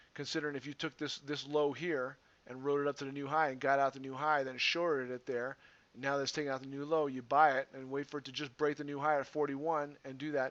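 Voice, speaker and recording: Racing at a very fast pace, a man speaks in a fairly high voice with a monotone, flat intonation and big swings in loudness. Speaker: stock trading educator. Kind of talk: tutorial. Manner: casual.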